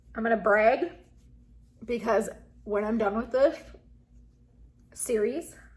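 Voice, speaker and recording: Speaking at a fairly slow pace with long, frequent pauses, a woman sounds somewhat breathy and uses ordinary pitch variation. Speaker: beauty vlogger. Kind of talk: casual vlog talk. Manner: slurring, halting.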